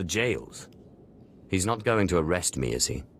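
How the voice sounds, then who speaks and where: Using a put-on character voice, a man speaks very deep and low at a moderate pace. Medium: video game. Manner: wry, dry.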